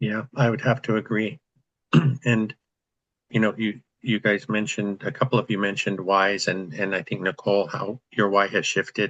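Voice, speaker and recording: A man with a fairly low pitch talks at a moderate pace with fairly even intonation. It is a normal speaking voice, heard in a dry, close sound with no echo. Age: 60s. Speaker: real estate investor, group host. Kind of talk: group video call discussion. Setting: video call.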